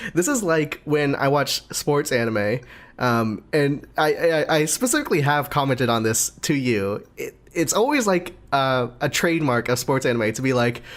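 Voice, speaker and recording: A man with an ordinary speaking voice and a fairly high pitch talks at a moderate pace. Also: lively intonation. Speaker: anime podcast co-host. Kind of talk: casual chat.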